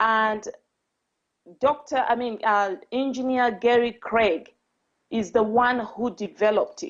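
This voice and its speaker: A woman speaks with a non-native accent. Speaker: spiritual coach and speaker. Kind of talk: talk. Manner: deliberately slow.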